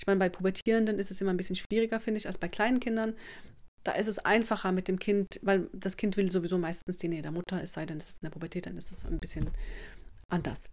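A woman at medium pitch talks at a very fast pace. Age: 40s. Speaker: parenting coach and video blogger. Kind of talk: advice monologue to camera. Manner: casual with many fillers.

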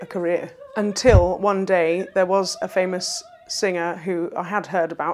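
A woman talks at a moderate pace and with fairly even intonation while music plays in the background. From London. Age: young. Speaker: opera singer. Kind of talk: interview answer. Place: home room. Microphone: lapel.

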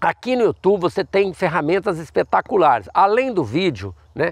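Recorded dry with no echo against a quiet background, a man talks at a high pitch and moderate pace with lively intonation. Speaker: fruit nursery owner and farming educator; farming educator. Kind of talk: tutorial. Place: farm machine.

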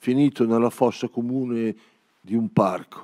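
A man talks at a fairly slow pace in a dark, mellow tone. His intonation is fairly even, and the background is quiet. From Emilia-Romagna, Cesenatico; Emilia-Romagna. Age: 70s. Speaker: poet. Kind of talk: poetry reading. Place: stage. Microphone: handheld.

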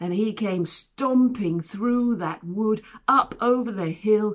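Plain reading aloud is heard, with ordinary pitch variation throughout.

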